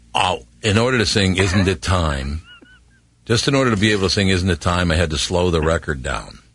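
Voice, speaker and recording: A man with a very deep, low voice speaks with lively intonation against noticeable background noise. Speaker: radio host. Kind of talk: radio interview.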